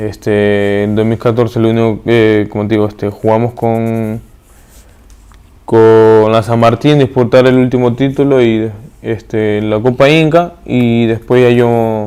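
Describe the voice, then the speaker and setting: Speaking fairly slowly, a man with a medium pitch and a dark, mellow tone keeps his intonation fairly even. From Peru, Pisco. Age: 30s. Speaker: professional footballer. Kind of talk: interview. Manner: halting.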